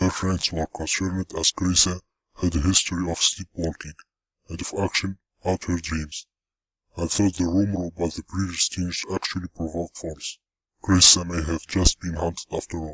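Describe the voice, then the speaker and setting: A man's put-on character voice, very deep and low in pitch, with monotone, flat intonation at a moderate pace. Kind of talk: horror narration. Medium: read story. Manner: somber, measured.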